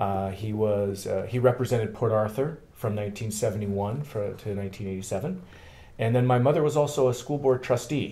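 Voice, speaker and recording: At a fairly quick pace, a somewhat breathy voice with a dark, mellow tone and ordinary pitch variation is heard with audible room echo. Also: man, medium pitch for a man. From Canada, Thunder Bay, Ontario. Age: 40s. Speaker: political candidate. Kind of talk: interview. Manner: halting.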